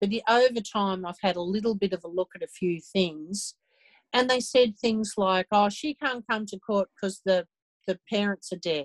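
In a dry, close sound with no echo and a quiet background, a woman with an Australian accent talks at a moderate pace and a medium pitch with ordinary pitch variation. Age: 60s. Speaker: abuse survivor and advocate. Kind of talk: interview.

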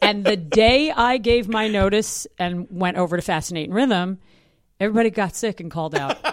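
With an American accent, a woman talks in a normal speaking voice at medium pitch with ordinary pitch variation. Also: moderate pace, very clean recording, silent background. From New York City. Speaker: Broadway actress and singer. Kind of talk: casual interview.

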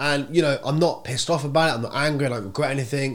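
Speaking at a very fast pace in an English accent, a man sounds animated, with ordinary pitch variation. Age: 20s. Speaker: podcast host. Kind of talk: casual chat. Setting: office.

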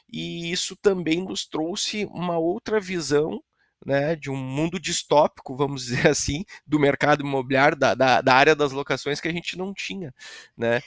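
A man with a plain, everyday voice and a fairly high pitch, at a fairly slow pace with ordinary pitch variation, in a very clean recording with a silent background and a dry, close sound with no echo. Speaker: real estate company director. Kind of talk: casual interview chat.

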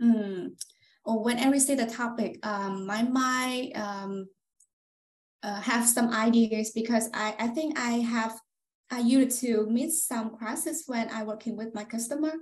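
A woman's fairly high voice with a Vietnamese accent, fairly slow and fairly even in intonation. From central Vietnam, Hoi An. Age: 20s. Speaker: customer success manager. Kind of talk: interview answers. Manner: halting.

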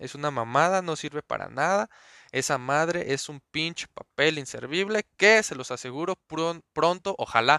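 Bright and sharp in tone, a man speaks with a Mexico City accent and lively intonation. His pace is moderate, and the sound is dry and close with no echo. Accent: Mexico City Spanish (chilango). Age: 20s. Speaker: podcaster. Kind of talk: casual monologue. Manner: animated.

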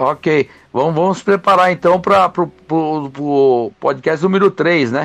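Dry and close with no echo, a man's fairly high voice moves at a very slow pace. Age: 50s. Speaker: podcast panelist. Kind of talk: casual debate. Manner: halting, many repetitions.

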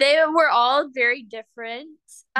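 A woman's voice with a bright, sharp tone. The background is quiet. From Cayman Islands. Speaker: Olympic gymnast. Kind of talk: casual interview.

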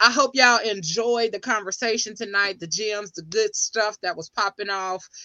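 In an unremarkable speaking voice, a woman talks at a moderate pace with hardly any pauses and big swings in loudness. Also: fairly high pitch for a woman, ordinary pitch variation. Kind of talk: casual chat.

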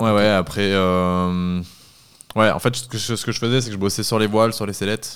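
A man talks at a moderate pace with a fairly low pitch. His intonation stays monotone and flat. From French Southern Alps. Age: 20s. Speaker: paraglider designer and test pilot. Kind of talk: casual interview.

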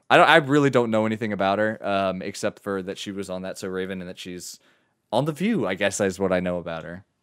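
On a very clean recording with a silent background, a man with a fairly low pitch talks at a very fast pace in an animated tone, with ordinary pitch variation and big swings in loudness. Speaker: podcast host. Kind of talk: casual chat, comedic role play. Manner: animated, joking.

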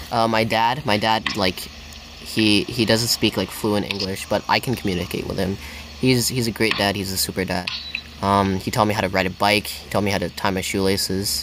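Noticeable background noise sits behind speech at a moderate pace with fairly even intonation. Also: man. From Hong Kong. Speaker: podcast host. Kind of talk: casual chat. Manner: halting.

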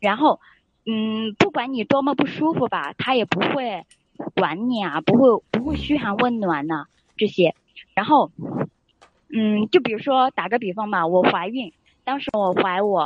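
Taking long, frequent pauses, a woman with a fairly high pitch talks at a fairly slow pace with lively intonation. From Sichuan, China. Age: 20s. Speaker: caller seeking relationship advice. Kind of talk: call-in advice chat. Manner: hesitant, many filler sounds.

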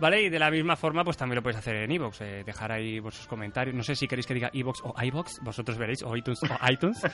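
A man talks at a very fast pace with hardly any pauses, his pitch medium with ordinary variation. Noticeable background noise runs underneath. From central Spain. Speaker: podcast host. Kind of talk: casual chat. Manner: animated.

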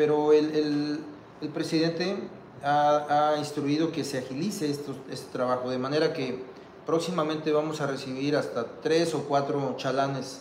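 A man at a fairly high pitch, fairly slow, monotone and flat, with audible room echo and noticeable background noise. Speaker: port administrator. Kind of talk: interview. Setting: outdoors. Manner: halting.

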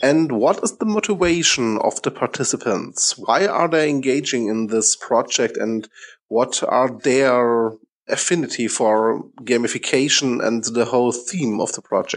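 Over a quiet background, a man with a medium pitch talks at a fairly slow pace with ordinary pitch variation. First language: German. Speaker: podcast host. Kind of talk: interview.

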